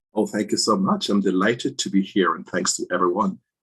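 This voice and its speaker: A man with a Jamaican accent. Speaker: physician in drug safety. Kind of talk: panel discussion.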